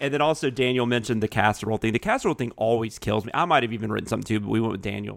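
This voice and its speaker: Talking at a very fast pace with hardly any pauses, a man shows vocal fry and ordinary pitch variation. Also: medium pitch for a man. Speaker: podcast co-host and writer. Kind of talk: casual chat.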